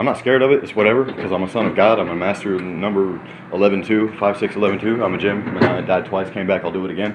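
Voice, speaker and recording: Through noticeable background noise, a man with a fairly low pitch talks at a very fast pace. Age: 30s. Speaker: vlogger, former prisoner. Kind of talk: casual monologue vlog. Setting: hotel room. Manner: animated.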